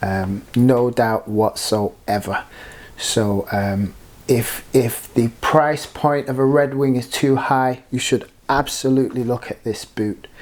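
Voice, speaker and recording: Here a man speaks with a British accent at a very slow pace. His pitch is medium, with ordinary pitch variation. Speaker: product reviewer. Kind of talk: product review. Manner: hesitant, many fillers.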